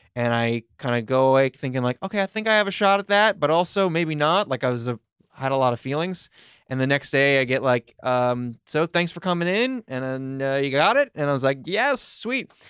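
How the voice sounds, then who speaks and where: In an American accent, a man talks at a fairly quick pace with a fairly high pitch and lively intonation. It is an ordinary speaking voice, with a dry, close sound and no echo. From New York (Long Island). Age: 30s. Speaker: comedian. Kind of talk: casual chat.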